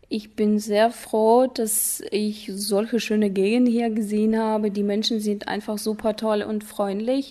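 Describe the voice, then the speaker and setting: Against noticeable background noise, a woman talks very slowly at a fairly high pitch with fairly even intonation. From Kazakhstan, Ust-Kamenogorsk. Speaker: German teacher. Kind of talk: interview.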